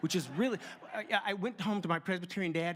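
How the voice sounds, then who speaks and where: This is a man's voice. It carries a slight Southern US accent. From US South, LaGrange, Georgia. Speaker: sound effects artist and speaker. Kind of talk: keynote talk with storytelling. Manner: animated, with sound effects.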